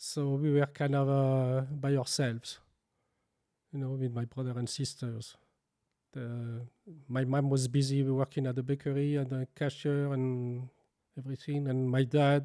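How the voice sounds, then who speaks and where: In a French accent, a man speaks in a medium pitch with a dark, mellow tone and flat, monotone intonation. Long, frequent pauses break his speech, and the recording is very clean with a silent background. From France. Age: 60s. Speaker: baker and bakery owner. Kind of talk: interview. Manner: halting.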